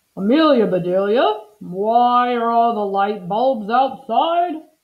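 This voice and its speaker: Putting on a character voice, a woman speaks at a fairly high pitch and a fairly slow pace with lively intonation. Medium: read story.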